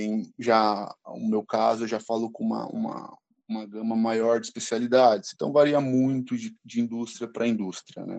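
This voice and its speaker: A man talks at a fairly slow pace with a dry, close sound and no echo. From Brazil, São Paulo city. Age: 20s. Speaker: pharmaceutical sales representative. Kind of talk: casual chat.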